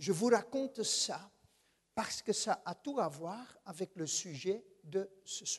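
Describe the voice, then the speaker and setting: A man with a Dutch accent speaks very slowly in a high voice with lively intonation. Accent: Dutch-speaking accent in French. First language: Dutch (speaking French). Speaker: guest preacher. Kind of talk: sermon. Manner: hesitant, many filler sounds.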